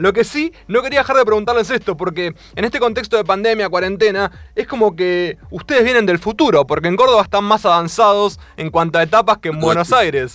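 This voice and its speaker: Quick and lively, a man with an Argentine accent speaks at a high pitch and a fairly quick pace. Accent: Rioplatense Argentine Spanish. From Argentina, Mar del Plata. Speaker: radio host. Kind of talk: radio interview. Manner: animated.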